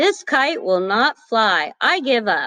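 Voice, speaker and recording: A put-on character voice, female-sounding, high-pitched, with very wide pitch swings at a fairly slow pace. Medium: read story.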